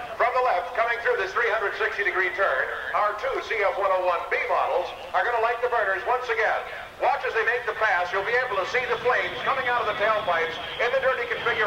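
Raising and projecting his voice, a man talks at a fairly quick pace with ordinary pitch variation. Background noise is noticeable. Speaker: air show announcer. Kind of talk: commentary. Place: open country.

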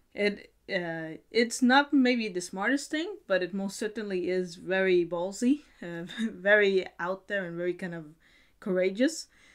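Against a quiet background, a woman talks at a moderate pace, her pitch varying in an ordinary way. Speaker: video blogger. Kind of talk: casual vlog chat. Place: home room.

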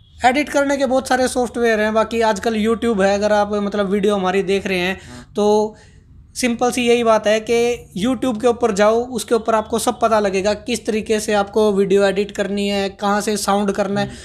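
Flat, monotone delivery from a man with a high pitch at a moderate pace. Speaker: interview guest, video creator. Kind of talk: interview answer. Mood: relaxed, friendly advice. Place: office. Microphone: handheld.

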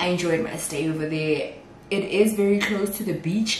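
Light background noise and audible room echo surround a woman whose pitch varies in an ordinary way. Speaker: vlogger. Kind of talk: casual vlog chat. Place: kitchen.

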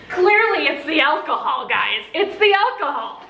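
Bright and sharp in tone, the voice moves at a moderate pace with big pitch swings, and room echo can be heard. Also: woman, high pitch for a woman.

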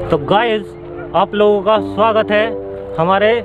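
Clear music plays behind a man with a high pitch and fairly even intonation. The sound is dry, with no echo. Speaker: vlogger. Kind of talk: casual vlog chat. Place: open country.

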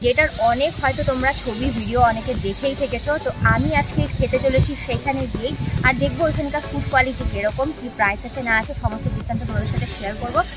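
Clear music plays in the background of this dry, echo-free recording of a woman speaking. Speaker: food vlogger. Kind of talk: casual vlog chat. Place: garden. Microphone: lapel.

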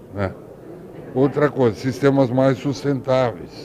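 A man talking at a very slow pace over light background noise. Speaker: interviewee. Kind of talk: interview answer. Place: hall. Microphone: handheld.

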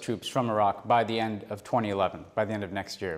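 An American accent at a moderate pace, with a quiet background. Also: man. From New York. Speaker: government official. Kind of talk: Q&A session answering public questions; interview answer. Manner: halting with many fillers. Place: office.

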